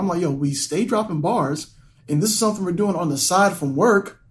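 The man's tone is animated. His pitch moves up and down very widely. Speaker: podcast co-host. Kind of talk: casual chat.

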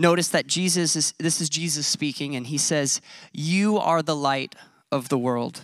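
The speech moves at a fairly slow pace on a very clean recording with a silent background. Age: 30s. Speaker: pastor. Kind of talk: sermon.

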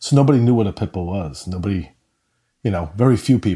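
A man with a New York accent, dark, mellow tone and lively intonation at a moderate pace, on a very clean recording with a silent background. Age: middle-aged. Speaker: dog rescue founder. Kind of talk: interview conversation.

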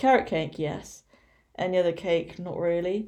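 A woman speaks in a dark, mellow tone with an English accent. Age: 20s. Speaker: fitness coach. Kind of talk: solo podcast monologue. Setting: at home. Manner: casual.

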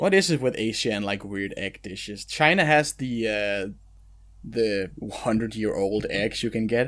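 A man with an unremarkable speaking voice talks at a medium pitch and a fairly slow pace, with ordinary pitch variation. The recording is very clean, with a silent background. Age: 30s. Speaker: anime podcast host. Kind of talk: casual chat.

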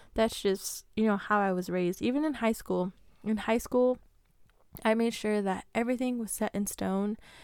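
A woman's unremarkable speaking voice, fairly high in pitch, with fairly even intonation and a moderate pace, on a very clean recording against a silent background. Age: 20s. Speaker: podcast host. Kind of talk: solo Q&A podcast. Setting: home recording with mic. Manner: casual, laughs often.

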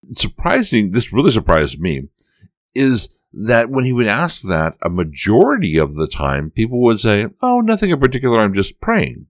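On a very clean recording with a silent background, a man with a medium pitch speaks at a moderate pace, his pitch swinging very widely. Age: 50s. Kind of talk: solo podcast talk.

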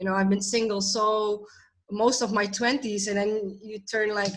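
With an ordinary speaking voice, a woman talks at a moderate pace and a fairly high pitch, keeping her intonation fairly even. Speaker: podcast co-host. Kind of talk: casual discussion.

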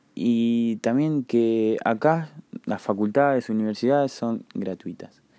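With an Argentine accent, a man speaks very slowly at a medium pitch in a dark, mellow tone with ordinary pitch variation over a quiet background. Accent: Rioplatense Argentine Spanish. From Argentina, La Plata. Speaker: podcast host. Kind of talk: casual solo monologue. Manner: hesitant, many filler words.

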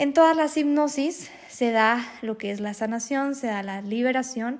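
A woman speaks at a fairly high pitch with ordinary pitch variation. Her tone is calm and relaxed, and her pace is fairly slow. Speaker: hypnotherapist and spiritual healer podcast host. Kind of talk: solo podcast monologue. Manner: calm, relaxed.

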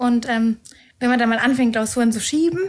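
Her voice is somewhat breathy, and this woman shows ordinary pitch variation. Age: 30s. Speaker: tax professional preparing for exam. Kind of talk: casual podcast chat.

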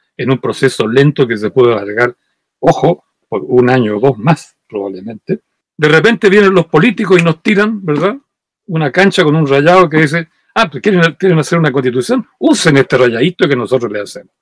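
The recording is dry and close with no echo, and the pitch swings very widely. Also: man, fairly high pitch for a man. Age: 80s+. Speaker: historian. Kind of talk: interview.

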